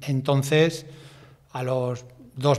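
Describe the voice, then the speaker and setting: A man talks in a monotone, flat intonation. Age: 60s. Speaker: bus driver; interviewee. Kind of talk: interview testimony. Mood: reflective, recounting accident. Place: studio. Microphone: studio mic.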